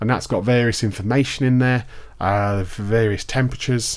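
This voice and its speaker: In a very clean recording against a silent background, a male speaker talks with a British accent. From UK. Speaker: tech product reviewer. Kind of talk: casual tutorial. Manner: casual, with fillers.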